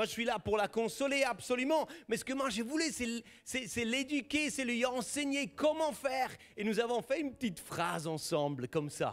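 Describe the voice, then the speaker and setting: Extremely high in pitch, a man talks at a moderate pace. His tone is animated and his intonation lively. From German-speaking Switzerland. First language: Swiss German (speaking French). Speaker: pastor. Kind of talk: sermon.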